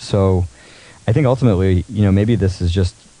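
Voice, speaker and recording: A man speaks at a very fast pace in a dark, mellow tone. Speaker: poker mindset coach. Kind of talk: interview. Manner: calm.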